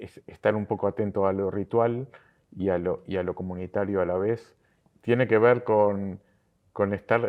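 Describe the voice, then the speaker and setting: A man talks at a fairly slow pace. His pitch is fairly low and his intonation fairly even. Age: 60s. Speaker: synagogue lay leader. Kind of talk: interview. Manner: halting, many fillers and repetitions.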